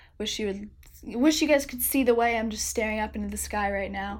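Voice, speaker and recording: A woman's fairly high voice with vocal fry at a fairly quick pace. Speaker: podcast co-host. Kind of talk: solo episode recap. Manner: casual, filler-heavy.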